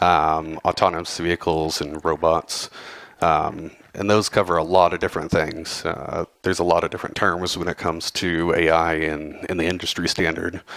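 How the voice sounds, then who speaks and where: A man with a Southern US accent speaks in a very deep, low pitch with monotone, flat intonation. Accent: southern drawl. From Texas, Houston. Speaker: cybersecurity professional, conference speaker. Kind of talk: conference talk. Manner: casual, many fillers.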